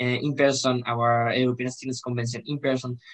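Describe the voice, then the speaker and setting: A man with a Spanish accent talks at a fairly quick pace in a medium pitch, his intonation monotone and flat. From Spain. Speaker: student representative. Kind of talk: interview. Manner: halting, repeats words.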